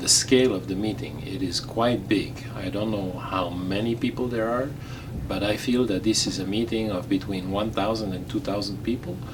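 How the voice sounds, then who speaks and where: Over noticeable background noise and audible room echo, a man speaks at a fairly low pitch with ordinary pitch variation. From Belgium, Flemish-speaking. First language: Flemish/Dutch. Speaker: radiologist, president of a medical society. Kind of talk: interview. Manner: halting, with many fillers; formal.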